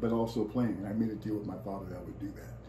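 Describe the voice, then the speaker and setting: Through noticeable background noise and audible room echo, a man with an American accent talks at a very fast pace. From US West Coast, San Francisco Bay Area. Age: 70s. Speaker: musician and actor. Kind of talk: interview.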